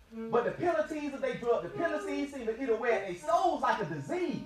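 With music in the background, a man with an extremely high pitch talks at a fairly quick pace and with lively intonation. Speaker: spoken word poet. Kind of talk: spoken word poetry performance. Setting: live event before an audience.

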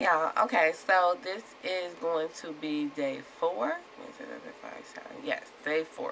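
Amid noticeable background noise, a woman with a fairly low pitch speaks at a very slow pace with long, frequent pauses and lively intonation. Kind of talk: casual vlog talk to camera. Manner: slightly slurred speech.

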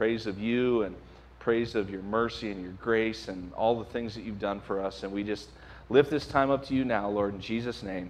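A man at a moderate pace, fairly even intonation, light background noise behind him. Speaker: pastor. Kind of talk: announcements then prayer. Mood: prayerful, soft. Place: church. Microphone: podium.

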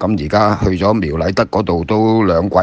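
In a Hong Kong accent, the speaker talks at a fairly slow pace with ordinary pitch variation. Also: man. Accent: Hong Kong Cantonese. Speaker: former jockey and horse trainer. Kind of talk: casual chat.

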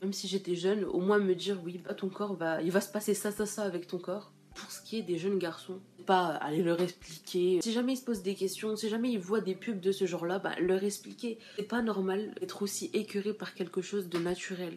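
Music sits in the background. A woman speaks over it with fairly even intonation. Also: moderate pace. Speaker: vlogger. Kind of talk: casual vlog chat. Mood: earnest, opinionated. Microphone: phone near.

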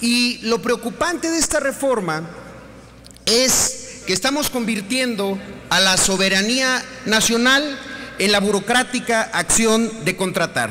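Over light background noise, a man speaks very slowly in a raised, projected voice whose loudness stays very even. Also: ordinary pitch variation. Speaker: senator at podium. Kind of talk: parliamentary speech. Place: hall. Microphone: podium.

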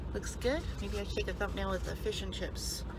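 A woman's voice sits against loud background noise. The sound is dry, with no echo. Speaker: food vlogger. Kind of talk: casual mukbang vlog chat. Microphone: phone near.

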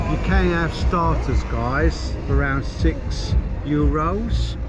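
The speech moves at a very slow pace, with music in the background. The sound is dry, with no echo. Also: man. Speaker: travel vlogger. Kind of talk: casual vlog commentary. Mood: cheerful, relaxed. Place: street. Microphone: phone near.

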